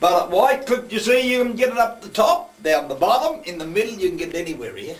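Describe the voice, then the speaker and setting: The speaker talks at a very fast pace with a strong Australian accent. Noticeable background noise runs underneath. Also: man. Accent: broad Australian. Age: old. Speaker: opal miner and underground tour guide. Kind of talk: guided tour talk. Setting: underground mine. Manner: talkative.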